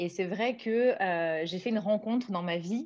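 A woman of medium pitch speaks at a moderate pace over a quiet background. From southern France (Nice); southern France. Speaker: naturopath and author; guest. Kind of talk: interview. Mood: warm, enthusiastic. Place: home room. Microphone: video call.

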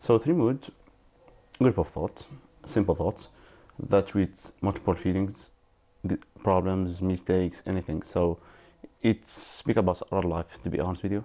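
The tone is dark and mellow, with ordinary pitch variation. Delivery is fairly slow, broken by long, frequent pauses. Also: man, very deep, low pitch for a man. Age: 20s. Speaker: writer. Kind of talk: interview. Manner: halting.

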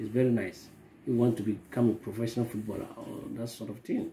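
With a dark, mellow tone, a somewhat breathy man talks at a fairly quick pace over light background noise. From Ghana. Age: 50s. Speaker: parent. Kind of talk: family self-introduction. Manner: halting, many fillers. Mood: calm, proud of son.

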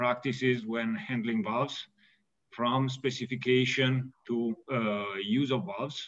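This man talks at a fairly slow pace, with ordinary pitch variation. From Italy. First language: Italian. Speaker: valve company executive and mechanical engineer. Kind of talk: technical webinar presentation. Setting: video call. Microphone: webcam.

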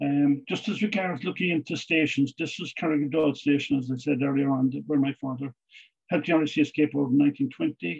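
A man with an Irish accent and fairly high pitch, at a moderate pace with ordinary pitch variation, against a quiet background. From Ireland. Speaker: police historian and author; guest. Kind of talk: Q&A answers; lecture. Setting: video call. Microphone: video call.

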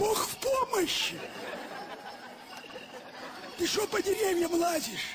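In a cartoonish character voice, a man speaks slowly at an extremely high pitch with ordinary pitch variation and a fairly bright tone, while faint crowd noise and faint music play in the background.

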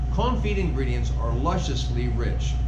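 Loud background noise fills the recording. A man speaks at a moderate pace. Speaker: cooking instructor. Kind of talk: tutorial. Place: kitchen.

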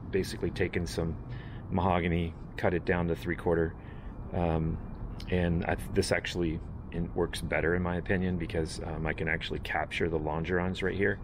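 A man's very deep, low voice at a fairly quick pace, with fairly even intonation and noticeable background noise. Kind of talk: casual build vlog explanation. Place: workshop. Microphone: phone near.

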